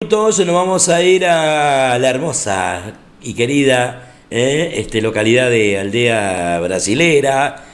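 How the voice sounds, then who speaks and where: The voice moves at a very slow pace, its pitch swinging very widely. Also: man, medium pitch for a man. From Argentina. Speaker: radio host. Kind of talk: remote interview. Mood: cheerful, friendly. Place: studio. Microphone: studio mic.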